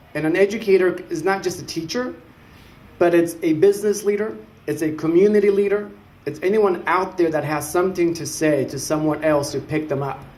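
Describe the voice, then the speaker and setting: Audible room echo carries a man's high-pitched voice as he talks at a moderate pace. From Mexico, then Richmond, California from age 8. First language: Spanish. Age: 30s. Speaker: city council candidate. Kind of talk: public speech. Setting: symposium audience.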